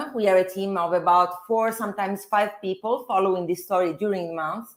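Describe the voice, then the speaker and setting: A woman's medium-pitched voice with an Italian accent, at a moderate pace. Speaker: financial journalist. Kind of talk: interview discussion. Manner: halting.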